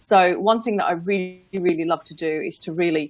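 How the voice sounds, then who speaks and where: Fairly low in pitch, a woman speaks with an English accent and fairly even intonation. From England. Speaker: business and life mindset coach. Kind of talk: casual interview on a livestream. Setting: live video broadcast.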